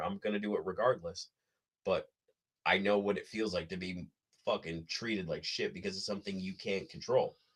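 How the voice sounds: A man talks at a fairly quick pace, his fairly bright tone carrying a slightly husky edge and fairly even intonation.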